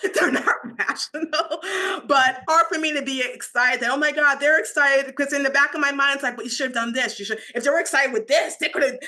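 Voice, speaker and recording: Her voice high and raised to project, a woman talks at a very fast pace with ordinary pitch variation. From Nigeria. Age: 40s. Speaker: luxury PR entrepreneur. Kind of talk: interview conversation.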